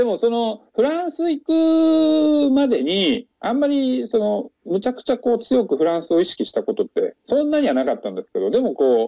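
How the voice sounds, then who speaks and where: Recorded with a dry, close sound with no echo, a man speaks at a fairly quick pace. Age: 40s. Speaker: salesman and French learner. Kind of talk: casual interview. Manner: frequent fillers and hesitations.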